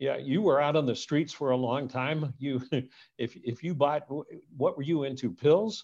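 A man's ordinary speaking voice, an ordinary speaking voice with fairly high pitch, ordinary pitch variation and a moderate pace. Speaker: podcast host. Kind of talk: casual interview chat. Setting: video call.

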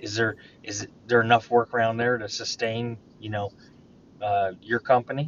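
Big swings in loudness mark this man's monotone, flat, medium-pitched speech, delivered at a moderate pace with long, frequent pauses. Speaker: podcast host. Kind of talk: casual interview conversation. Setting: phone call.

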